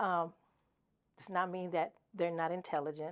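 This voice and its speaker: Speaking with a Spanish accent, a woman talks at a moderate pace in a fairly low pitch. The recording is very clean, with a silent background. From US, Mexican-American family. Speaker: educator, military veteran. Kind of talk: interview monologue. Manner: casual, some hesitations.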